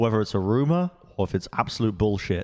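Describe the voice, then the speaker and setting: A man with a fairly low voice talks at a fairly quick pace. The recording is very clean, with a silent background. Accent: English. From England. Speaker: esports podcast host. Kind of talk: casual chat. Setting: studio.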